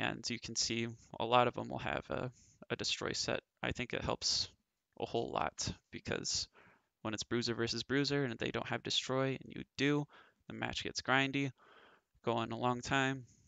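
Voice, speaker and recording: The recording is dry with no echo and a quiet background, as a man speaks at a moderate pace with long, frequent pauses. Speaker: mobile game player. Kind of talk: game strategy guide narration. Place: home room. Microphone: headset.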